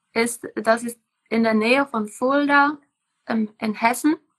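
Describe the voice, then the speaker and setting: Very slowly, a woman with a Czech accent speaks with fairly even intonation. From Czech Republic. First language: Czech (speaking German). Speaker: permaculture farmer. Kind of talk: casual interview. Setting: Instagram live video call.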